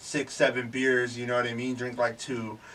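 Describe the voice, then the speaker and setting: In a normal speaking voice, the man holds a medium pitch and a moderate pace. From California, Bay Area. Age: 30s. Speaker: musician. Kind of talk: casual chat. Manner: casual, slangy.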